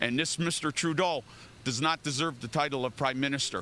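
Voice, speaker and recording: A man's fairly high voice, bright and sharp in tone, at a fairly quick pace. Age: 60s. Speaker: protester. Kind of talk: street interview.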